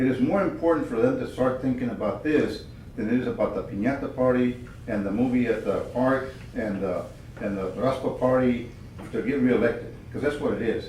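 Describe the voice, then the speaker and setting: A man speaks at a fairly quick pace in a medium pitch, with ordinary pitch variation and audible room echo. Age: 70s. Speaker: committee member. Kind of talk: committee meeting discussion. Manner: animated.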